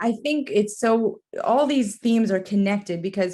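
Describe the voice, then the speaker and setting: A woman speaks with an American accent. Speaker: podcast host. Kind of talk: interview.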